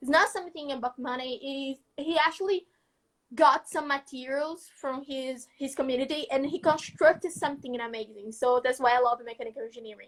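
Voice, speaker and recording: A woman's high-pitched voice with a Brazilian accent, fairly quick in pace, with ordinary pitch variation and big swings in loudness. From northeastern Brazil, Maceió, Alagoas. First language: Portuguese. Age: young. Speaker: student innovator. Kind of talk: casual interview chat. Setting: live video call.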